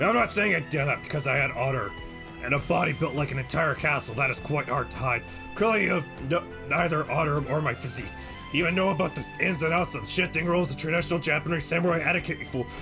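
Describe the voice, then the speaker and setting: A man in a put-on character voice with a fairly high pitch sounds gruff, growling and strained as he talks very fast over loud music in the background. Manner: boastful, pompous.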